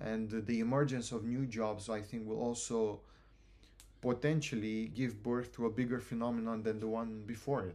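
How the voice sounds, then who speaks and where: This man has a medium pitch and a dark, mellow tone with a Romanian accent. He talks at a moderate pace with fairly even intonation. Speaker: university student, student society president. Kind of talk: casual interview chat.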